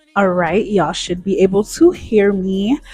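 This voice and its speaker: Over music in the background, a woman speaks in an animated tone at a medium pitch and a fairly slow pace. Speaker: vlogger. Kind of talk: apartment tour vlog. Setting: at home, new apartment. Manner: animated, casual.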